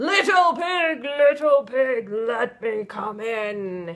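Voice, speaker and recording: A man puts on a character voice. It is extremely high-pitched and very slow. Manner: growling.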